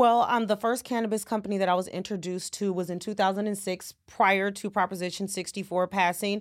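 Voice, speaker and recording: A woman with an American accent, monotone and flat, with hardly any pauses, on a very clean recording with a silent background. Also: medium pitch for a woman, fairly quick pace. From California, San Francisco Bay Area. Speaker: accountant. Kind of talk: interview.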